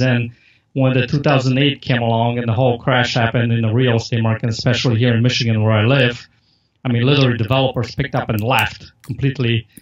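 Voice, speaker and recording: A man speaks at a very fast pace. He has a Polish accent. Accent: Polish accent, noticeable. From Poland. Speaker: marketer and podcast host. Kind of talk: interview. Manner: casual, filler-heavy.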